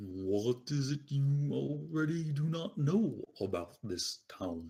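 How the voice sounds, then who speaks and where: A man's put-on character voice, fairly high-pitched and fairly slow, with very wide pitch swings. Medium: actual play. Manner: formal, cryptic, no contractions.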